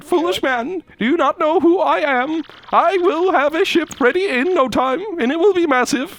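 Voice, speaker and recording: At a moderate pace, a woman uses a put-on character voice set high in pitch. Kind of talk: archaic, theatrical. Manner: exaggerated, over the top.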